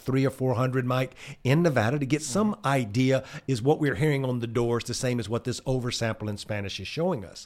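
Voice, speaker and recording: Speaking with a Southern US accent, a man has an animated tone, a medium pitch, ordinary pitch variation and a moderate pace. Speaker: political consultant. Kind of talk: casual chat.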